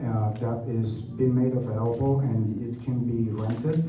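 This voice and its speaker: With a Romanian accent, a man speaks at a fairly slow pace. Noticeable background noise and audible room echo surround him. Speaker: airport official. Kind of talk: community meeting Q&A.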